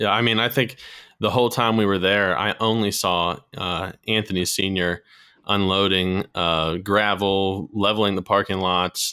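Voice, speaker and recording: This man has a normal speaking voice with a fairly low pitch. His intonation stays fairly even at a moderate pace. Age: 20s. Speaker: competitive clay shooter. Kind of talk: phone interview.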